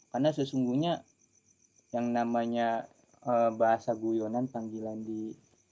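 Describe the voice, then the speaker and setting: A man's dark, mellow voice holds a medium pitch and flat, monotone intonation at a moderate pace. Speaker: sholawat singer, former pesantren student. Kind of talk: casual chat.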